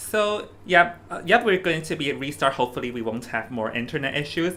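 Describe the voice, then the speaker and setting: A man with a Hong Kong accent, a fairly quick pace, and lively intonation, over noticeable background noise. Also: fairly high pitch for a man. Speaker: esports caster. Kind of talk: live esports commentary chat. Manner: halting, repeats words.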